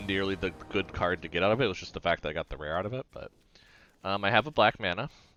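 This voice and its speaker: Background music can be heard. The man's voice sits fairly low. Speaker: gaming streamer. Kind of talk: live gameplay commentary. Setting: live stream. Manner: halting, many restarts and fillers.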